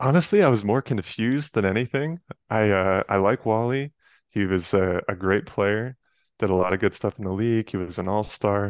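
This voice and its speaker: A man with an American accent and an ordinary speaking voice, fairly low in pitch with ordinary pitch variation, at a moderate pace, in a dry, close sound with no echo. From New York area, Westchester County. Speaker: sports card collector and photographer. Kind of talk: casual chat.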